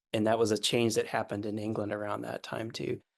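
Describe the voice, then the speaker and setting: An ordinary speaking voice from a man, medium in pitch, at a fairly quick pace against a quiet background. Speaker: sociolinguist. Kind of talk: interview answer.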